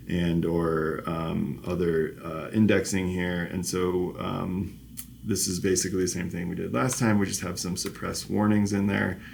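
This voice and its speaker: Audible room echo surrounds a man's very deep, low voice as he speaks at a moderate pace with fairly even intonation. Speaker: professor. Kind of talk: lecture. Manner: halting.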